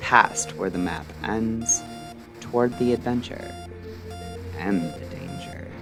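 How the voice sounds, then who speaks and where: Music plays in the background as a man speaks at a very slow pace. His very deep, low voice carries lively intonation. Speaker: radio-style podcast host. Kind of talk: late-night mystery radio show narration.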